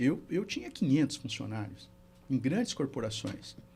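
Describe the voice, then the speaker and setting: Somewhat breathy, a man with a fairly high pitch speaks at a moderate pace with lively intonation. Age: 60s. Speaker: therapist and mentor. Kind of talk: podcast interview.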